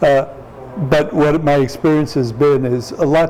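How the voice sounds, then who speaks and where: The speech carries an American accent, with noticeable noise behind it. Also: man. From US Midwest, St. Louis, Missouri. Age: 70s. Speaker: tai chi teacher. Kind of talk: casual interview chat.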